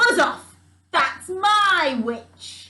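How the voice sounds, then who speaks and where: In a put-on character voice, a woman speaks at an extremely high pitch, shrill in tone. She also growls. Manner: menacing, gruff.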